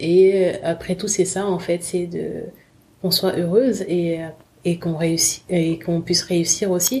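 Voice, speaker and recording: A woman speaks very slowly in a fairly low pitch with fairly even intonation. Her voice is somewhat breathy. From Republic of the Congo, then France from about age 11. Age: 30s. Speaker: fashion brand founder. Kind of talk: interview testimony. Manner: hesitant, many fillers.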